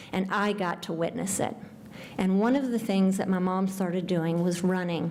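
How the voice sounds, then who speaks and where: In a room with audible echo, a woman talks at a moderate pace and medium pitch with fairly even intonation. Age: 60s. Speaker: nonprofit founder and speaker. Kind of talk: award talk.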